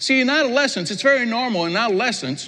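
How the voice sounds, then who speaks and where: Over noticeable background noise, a man projects a raised voice at a moderate pace, his pitch swinging very widely. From Quebec. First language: French. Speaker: pastor. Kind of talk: sermon. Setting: church.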